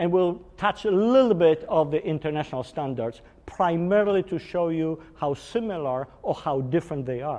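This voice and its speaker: A man with a Polish accent speaks at a high pitch with lively intonation. He hardly pauses at all. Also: moderate pace. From Poland. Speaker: engineering executive. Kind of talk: technical workshop lecture. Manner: hesitant, with fillers.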